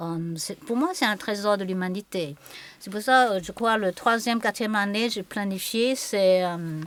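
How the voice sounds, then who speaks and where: At a fairly slow pace, a woman speaks at medium pitch with ordinary pitch variation and big swings in loudness. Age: 60s. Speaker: qigong and Chinese medicine teacher. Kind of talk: conversational interview. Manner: halting.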